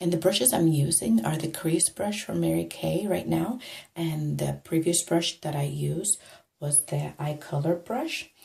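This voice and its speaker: A soft-spoken woman talks at a moderate pace. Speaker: makeup tutorial vlogger. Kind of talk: tutorial. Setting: home bathroom. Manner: soft-spoken, lowered voice.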